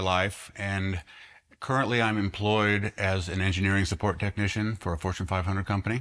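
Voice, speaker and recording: At a fairly quick pace, a man talks in an ordinary speaking voice, fairly low in pitch with fairly even intonation, on a very clean recording with a silent background. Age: 50s. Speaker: engineering technician and artist interviewed. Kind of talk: interview monologue.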